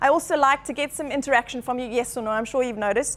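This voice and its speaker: A passionate tone with ordinary pitch variation. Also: woman. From Zimbabwe. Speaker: chiropractor. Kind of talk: talk to a live audience. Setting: meetup room with audience. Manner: fast, passionate.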